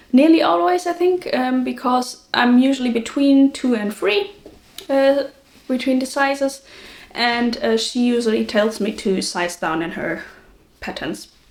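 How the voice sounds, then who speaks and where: A woman's high-pitched voice at a fairly slow pace, with lively intonation and noticeable background noise. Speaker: knitting podcaster. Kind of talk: casual talk to camera. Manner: chatty, hesitant with many fillers.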